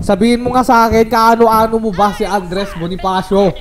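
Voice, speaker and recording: A man's high-pitched voice at a moderate pace, ordinary pitch variation, faint music in the background. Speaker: mobile game streamer. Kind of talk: gameplay commentary, joking taunts at game character. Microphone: studio mic.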